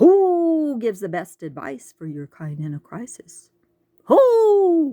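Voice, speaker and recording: In a put-on character voice, a female-sounding voice speaks at a fairly slow pace with a high pitch. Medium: read story. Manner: hooting, riddling.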